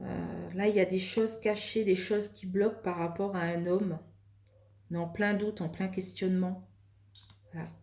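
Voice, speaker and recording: Soft-spoken and monotone, a woman talks with flat intonation and long, frequent pauses. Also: medium pitch for a woman, moderate pace. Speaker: tarot card reader. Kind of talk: tarot reading. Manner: calm, soft; hesitant, many fillers.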